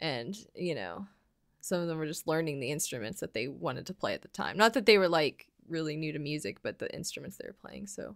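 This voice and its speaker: Speaking at a fairly quick pace in an American accent, a woman uses a very deep, low pitch with vocal fry, lively intonation and big swings in loudness. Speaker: podcast co-host. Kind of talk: casual chat. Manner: halting.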